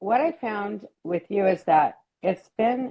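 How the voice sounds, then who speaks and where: A woman's fairly slow speech in an American accent. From Washington State. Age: 60s. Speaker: psychiatric nurse practitioner, coaching client. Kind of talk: interview testimony. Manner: halting.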